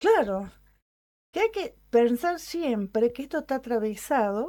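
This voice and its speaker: Very slow, fairly high-pitched speech from a woman, dark and mellow in tone, with very wide pitch swings, on a very clean recording with a silent background. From Argentina, Córdoba. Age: 60s. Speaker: radio program participant. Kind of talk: radio conversation.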